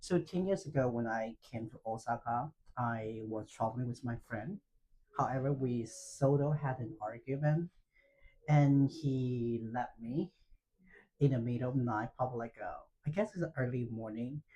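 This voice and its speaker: A man's dark, mellow, somewhat breathy tone at a moderate pace, with ordinary pitch variation. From China, Fujian province. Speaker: freelance language teacher. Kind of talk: interview, personal story. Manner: halting, many fillers.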